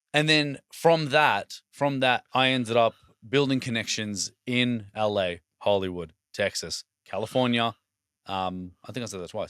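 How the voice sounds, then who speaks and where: At a fairly slow pace, a man with an Australian accent speaks at medium pitch with ordinary pitch variation and big swings in loudness, in a very clean, dry, close recording with no echo and a silent background. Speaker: podcast host. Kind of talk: casual chat.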